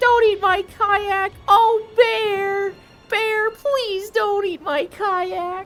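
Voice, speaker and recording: Faint music plays behind a female-sounding, put-on character voice that is extremely high in pitch and very slow. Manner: pleading.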